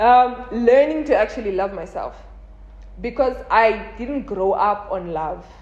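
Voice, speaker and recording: Against noticeable background noise, a woman speaks fairly slowly in an animated tone, fairly high-pitched, with ordinary pitch variation. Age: 20s. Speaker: content creator. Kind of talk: casual chat. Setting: filmed with a phone camera.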